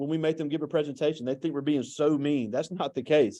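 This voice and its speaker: Against a quiet background, a man with an American accent speaks in a fairly high pitch with a dark, mellow tone. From US South, Mississippi. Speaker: teacher and interviewer. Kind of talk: interview. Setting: classroom.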